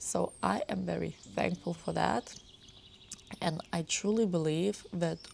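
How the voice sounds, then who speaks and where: A woman's fairly low, dark, mellow voice at a very slow pace, with a non-native accent. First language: not English. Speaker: lifestyle vlogger. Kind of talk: personal vlog talk to camera. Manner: unscripted, sometimes jumping between topics.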